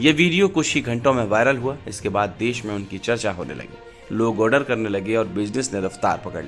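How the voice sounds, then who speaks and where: Music sits in the background. The speech has lively intonation and hardly any pauses. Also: man, medium pitch for a man, moderate pace. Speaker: news narrator. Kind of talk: news report narration.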